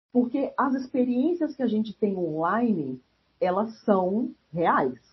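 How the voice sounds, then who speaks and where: A woman talks at a very slow pace in a somewhat breathy voice. Her fairly high pitch swings very widely. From Brasília, Brazil. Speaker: geographer, researcher. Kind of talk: casual interview.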